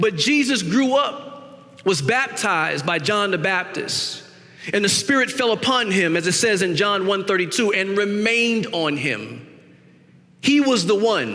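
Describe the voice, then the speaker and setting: A man with a high pitch and an American accent projects a raised voice at a fairly slow pace, with lively intonation and very even loudness, amid noticeable background noise and audible room echo. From US South, South Carolina Gullah low country. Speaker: guest preacher. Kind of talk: sermon.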